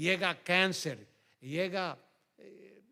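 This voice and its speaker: Male voice with a bright, sharp tone. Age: 70s. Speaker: pastor. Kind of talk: sermon.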